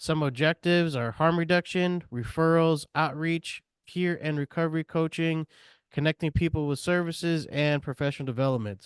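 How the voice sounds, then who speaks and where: A man speaks in a normal speaking voice, pitched fairly high, at a moderate pace. His intonation stays fairly even, and the sound is dry and close with no echo. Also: quiet background. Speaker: peer support coordinator. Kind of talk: presentation at a meeting. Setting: meeting room with audience and Zoom.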